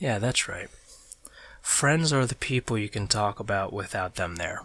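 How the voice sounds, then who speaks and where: This man's voice is fairly low in pitch with a bright, sharp tone. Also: lively intonation, moderate pace. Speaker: ASMR artist drawing on camera. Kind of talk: casual ASMR talk while drawing. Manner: soft-spoken.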